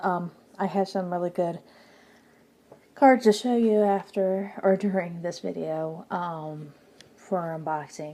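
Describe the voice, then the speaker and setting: Soft-spoken and dark, mellow in tone, a woman talks with a fairly low pitch and fairly even intonation. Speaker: tarot youtuber. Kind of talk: casual vlog chat. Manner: slow.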